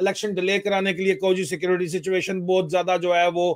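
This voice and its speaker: Against a quiet background, a man talks at a moderate pace with a high pitch. His intonation is monotone and flat. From Pakistan. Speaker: retired army officer and political commentator; political commentator. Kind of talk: political discussion. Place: home room. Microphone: video call.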